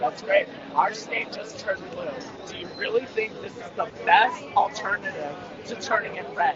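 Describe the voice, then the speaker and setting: A man with a high pitch talks at a moderate pace in an animated tone with ordinary pitch variation. His loudness swings widely, and there is noticeable background noise. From Russia. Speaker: protester. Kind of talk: heated debate. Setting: outdoors.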